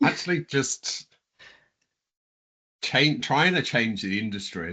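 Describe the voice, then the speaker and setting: Against a quiet background, the voice sounds bright and sharp, with lively intonation and a fairly slow pace. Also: man. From northern England, Leeds. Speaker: construction software customer success director. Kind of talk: casual interview chat. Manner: halting, many fillers.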